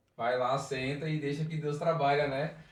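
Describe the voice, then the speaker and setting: Room echo is audible as a man with a fairly high pitch speaks at a moderate pace with fairly even intonation. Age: 40s. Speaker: church youth leader. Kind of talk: podcast interview, personal testimony. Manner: playful, joking.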